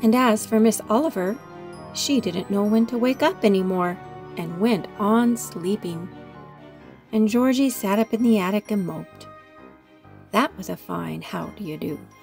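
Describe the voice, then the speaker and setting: With music in the background, a woman speaks at a moderate pace and medium pitch, with ordinary pitch variation and long, frequent pauses. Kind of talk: children's story read-aloud.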